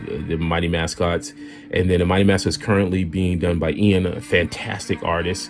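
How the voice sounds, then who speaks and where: With music in the background, a man with an American accent speaks at a very deep, low pitch. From US Northeast, Boston. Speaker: artist and illustrator. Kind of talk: casual chat while drawing. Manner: off the cuff, halting with many fillers; forward.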